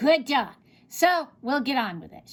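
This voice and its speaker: A woman's put-on character voice, high and shrill, at a moderate pace. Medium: read story. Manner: gleeful.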